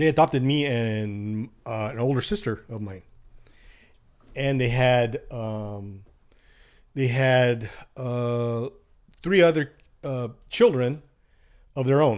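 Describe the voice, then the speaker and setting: A man's medium-pitched voice at a very slow pace, with long, frequent pauses and ordinary pitch variation, on a very clean recording with a silent background. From US West Coast (Gilroy, California). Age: 60s. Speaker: adoptee telling his life story. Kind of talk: podcast interview testimony.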